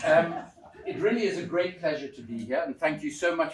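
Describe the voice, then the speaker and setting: Over noticeable background noise and audible room echo, a man speaks with very wide swings in pitch. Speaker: author and former politician. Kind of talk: public talk. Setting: church hall with audience. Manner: loud. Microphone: microphone switched off after echo.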